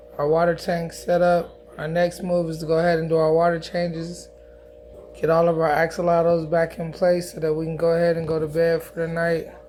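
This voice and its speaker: A man's high-pitched, flat, monotone voice at a fairly quick pace, with music in the background. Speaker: aquarium hobbyist vlogger. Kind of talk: casual video narration.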